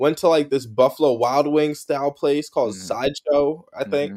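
In a very clean recording with a silent background, a man with an American accent talks at a fairly quick pace in an ordinary speaking voice. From New Jersey. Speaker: sneaker content creator. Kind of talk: casual chat.

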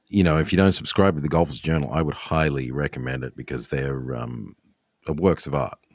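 Speaking at a fairly quick pace with an Australian accent, a man has a very deep, low voice. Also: ordinary pitch variation. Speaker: golf podcast host and club builder. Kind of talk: casual chat; sponsor read.

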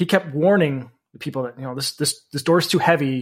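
A man speaks in a plain, everyday voice. His pitch is fairly high and his pace fairly quick. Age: 30s. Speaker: podcast host. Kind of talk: casual chat.

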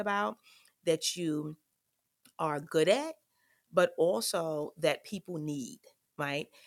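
A woman talks in a normal speaking voice, fairly low in pitch with ordinary pitch variation. The sound is dry and close with no echo. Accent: American. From New York, South Bronx. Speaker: college dean and podcast host. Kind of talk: solo podcast monologue. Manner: frequent filler words.

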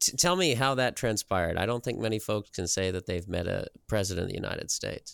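With a Midwestern American accent, a man with a medium pitch races along at a very fast pace with hardly any pauses and lively intonation, in a dry, close sound with no echo on a very clean recording with a silent background. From US Midwest, southeast Nebraska. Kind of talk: interview.

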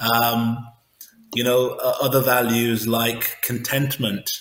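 A man with an English accent speaks at medium pitch in a monotone, flat delivery, with audible room echo around him. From England. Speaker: sumo wrestler. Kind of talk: interview.

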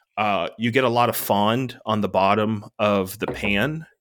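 Heard on a very clean recording with a silent background, the speaker uses a plain, everyday voice. The pace is moderate and the intonation fairly even. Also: man. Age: 30s. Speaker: podcast co-host, home cook. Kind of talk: casual chat.

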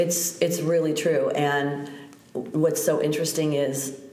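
A woman's very deep, low voice with an American accent and fairly even intonation, amid noticeable background noise and audible room echo. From US Midwest (North Shore, Chicago). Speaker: yoga teacher. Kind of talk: casual interview chat.

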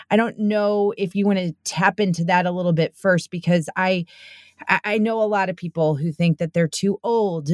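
A woman's plain, everyday voice, fairly low in pitch with ordinary pitch variation, in a dry, close sound with no echo. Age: 40s. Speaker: podcast host. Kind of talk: read-out ad; casual chat.

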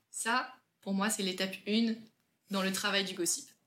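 The woman's somewhat breathy voice carries fairly even intonation. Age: 20s. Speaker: school teacher. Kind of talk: casual chat.

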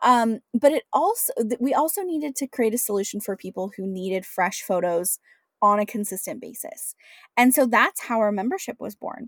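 A woman with an American accent speaks in a plain, everyday voice at a fairly high pitch. Her moderate pace comes through in a dry, close sound with no echo. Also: lively intonation. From US Pacific Northwest, Washington State. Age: 30s. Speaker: entrepreneur. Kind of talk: interview.

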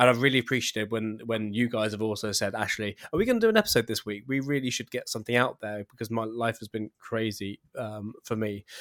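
A man with a medium-pitched voice talks at a very fast pace with hardly any pauses, the sound dry and close with no echo. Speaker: podcast host. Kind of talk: casual chat. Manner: excitable.

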